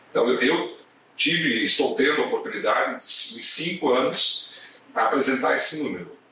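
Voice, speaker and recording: At a moderate pace, a man speaks amid noticeable background noise and audible room echo. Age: 50s. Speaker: corporate lawyer. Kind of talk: casual chat.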